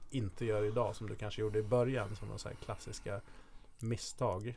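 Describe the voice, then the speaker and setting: A man talks with a normal speaking voice. His pace is moderate. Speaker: podcast co-host, marketer. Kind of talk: interview. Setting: studio.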